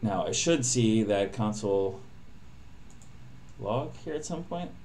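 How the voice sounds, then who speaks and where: There is audible room echo as a man with a fairly low voice speaks very slowly with lively intonation. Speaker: programmer live-streaming coding. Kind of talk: live coding stream. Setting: live stream.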